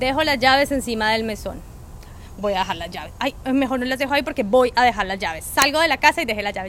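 A woman talks very fast in a high voice. Her pitch variation is ordinary. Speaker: podcast co-host. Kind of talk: casual chat. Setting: outdoors.

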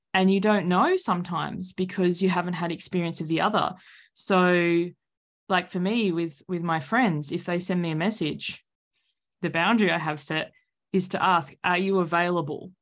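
A woman speaks with an Australian accent and fairly even intonation on a very clean recording with a silent background. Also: fairly low pitch for a woman, moderate pace. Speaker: author and coach. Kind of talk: casual interview chat.

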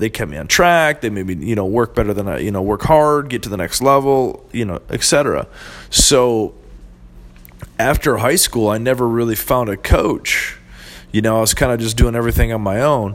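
A plain, everyday voice speaks at a moderate pace with an American accent. Its pitch variation is ordinary. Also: man, medium pitch for a man. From southern Michigan. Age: 20s. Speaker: marketing entrepreneur, podcast host. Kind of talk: casual monologue. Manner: rambling, filler-heavy.

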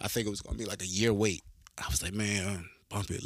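The recording is very clean, and the background is silent. A man talks at a fairly quick pace with ordinary pitch variation. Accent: Southern US. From North Carolina, small coastal country town. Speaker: rapper and soldier. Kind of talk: casual interview.

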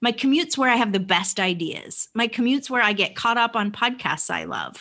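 Against a silent background on a very clean recording, a woman speaks with a fairly high pitch and a bright, sharp tone. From Vermont, US. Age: 40s. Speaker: life coach and NLP trainer. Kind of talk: casual interview.

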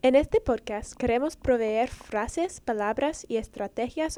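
A woman speaks at a fairly slow pace with lively intonation. Her voice is high in pitch, with a dark, mellow tone. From Dominican heritage. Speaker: medical student, podcast co-host. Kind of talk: scripted introduction.

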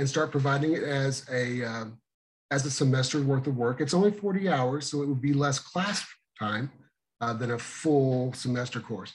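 The man's voice is somewhat breathy and fairly high in pitch. He speaks at a fairly quick pace. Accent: American. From Missouri. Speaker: emergency dispatch trainer. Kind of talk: interview.

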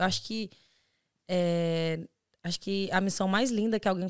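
In a very clean recording with a silent background, a woman with an unremarkable speaking voice talks at medium pitch and a moderate pace, her intonation fairly even and the sound dry and close with no echo. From Brazil, Belo Horizonte. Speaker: podcast co-host, exchange student. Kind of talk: casual chat.

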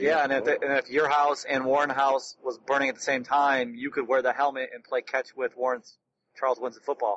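Speaking at a fairly quick pace, a man with an American accent keeps a medium pitch and a monotone, flat intonation. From Detroit, US Midwest. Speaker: podcast co-host. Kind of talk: casual chat. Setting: in a car.

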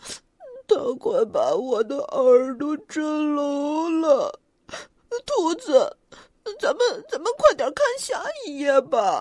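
In a put-on character voice, the speaker goes at a very slow pace with a shaky, extremely high pitch that swings very widely. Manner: trembling, scared.

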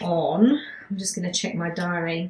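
With an English accent, the voice sounds somewhat breathy and shows ordinary pitch variation. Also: woman. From England. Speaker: spiritual healer and channeler podcast host. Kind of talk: casual monologue.

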